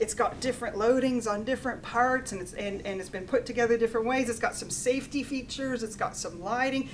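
A woman with an American accent talks at a very fast pace and high pitch. Her intonation is lively, with light background noise. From USA. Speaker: engineering professor. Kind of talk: lecture. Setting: stage with audience. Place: meeting room.

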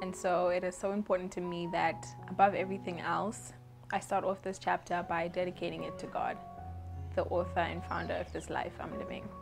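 Music plays in the background. A woman talks over it at a fairly quick pace. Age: 20s. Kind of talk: spoken word poetry. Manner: heartfelt, devotional.

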